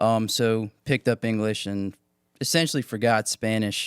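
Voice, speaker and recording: In a normal speaking voice with an American accent, a man speaks at a medium pitch and a moderate pace, his dry, close sound carrying no echo on a very clean recording with a silent background. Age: 20s. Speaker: firefighter. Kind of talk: casual chat.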